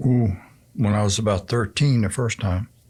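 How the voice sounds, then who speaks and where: A man talks at a fairly slow pace with fairly even intonation. His voice is somewhat breathy. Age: 70s. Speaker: senior community resident, pool league organizer. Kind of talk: interview.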